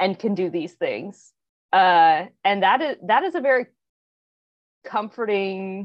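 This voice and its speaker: A woman's normal speaking voice at medium pitch and moderate pace. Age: 30s. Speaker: former clergy. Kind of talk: casual chat.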